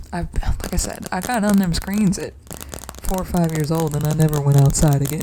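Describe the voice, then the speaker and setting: A soft-spoken woman with a very deep, low pitch talks at a moderate pace with ordinary pitch variation, and background noise is noticeable. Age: 20s. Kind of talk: soft-spoken ASMR casual talk.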